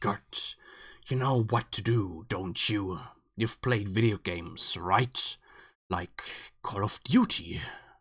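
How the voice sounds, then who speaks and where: On a very clean recording with a silent background, a man uses a put-on character voice that is raspy and medium-pitched, with long, frequent pauses. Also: fairly slow pace, ordinary pitch variation. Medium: read story. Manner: mocking, disdainful.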